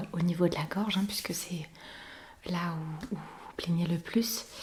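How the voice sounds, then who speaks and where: Soft-spoken and very slow, a woman talks with fairly even intonation amid noticeable background noise. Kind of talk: ASMR doctor role-play.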